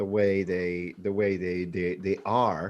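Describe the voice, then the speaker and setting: Against a quiet background, a man with a very deep, low pitch speaks at a fairly slow pace. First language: not English. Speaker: film writer-director. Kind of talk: casual interview. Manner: halting, many fillers and restarts.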